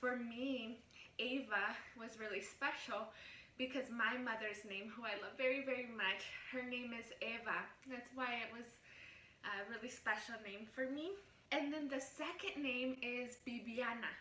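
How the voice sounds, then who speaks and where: With a Spanish accent, a woman speaks at a high pitch amid audible room echo and noticeable background noise. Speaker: vlogger. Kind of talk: casual vlog talk. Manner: animated.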